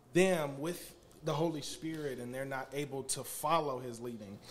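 There is noticeable background noise as a man talks at a moderate pace. His pitch is fairly high and his intonation fairly even. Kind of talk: casual chat. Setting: studio.

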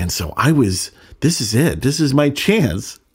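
With an American accent, a man speaks somewhat breathily at a moderate pace, his pitch swinging very widely. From Northern California. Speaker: podcast host, recovering addict. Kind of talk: personal storytelling monologue.

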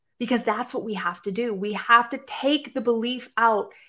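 A woman's fairly high-pitched voice with an American accent. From Boston, Massachusetts. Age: 40s. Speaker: life coach and podcast host. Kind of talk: live-stream monologue. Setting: live stream.

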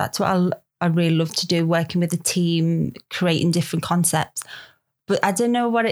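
A woman with a Liverpool accent speaks at a fairly quick pace with medium pitch, fairly even intonation and very even loudness, recorded very cleanly against a silent background. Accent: Scouse. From Liverpool, England. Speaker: photography model. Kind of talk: casual podcast interview.

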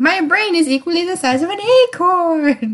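A woman uses a squeaky, cartoonish character voice at an extremely high pitch. She speaks at a moderate pace with very wide pitch swings. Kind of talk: exaggerated cartoonish voice. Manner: silly, put-on.

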